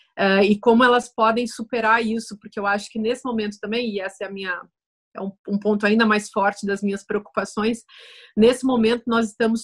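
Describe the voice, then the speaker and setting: A woman with a fairly high, somewhat breathy voice speaks at a moderate pace in a flat, monotone way. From Brazil. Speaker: writer and philosopher. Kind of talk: casual interview conversation.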